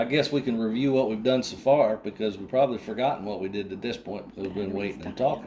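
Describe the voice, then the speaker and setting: A man rushes along at a very fast pace with hardly any pauses and big swings in loudness. There is noticeable background noise. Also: medium pitch for a man, ordinary pitch variation. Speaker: tutorial presenter. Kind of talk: tutorial. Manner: casual, folksy.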